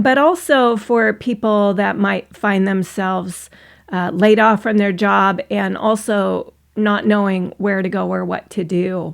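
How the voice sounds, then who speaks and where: A woman with an American accent uses a normal speaking voice at medium pitch with ordinary pitch variation. She goes at a fairly slow pace in a very clean recording with a silent background. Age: 60s. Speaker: online business vlogger, former coach. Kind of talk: personal vlog monologue.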